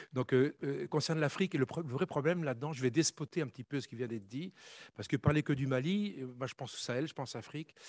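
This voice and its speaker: At a very fast pace, a man speaks in a fairly high pitch with big swings in loudness, in a dry, close sound with no echo and a quiet background. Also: ordinary pitch variation. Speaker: conference panelist, former army officer. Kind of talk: conference talk.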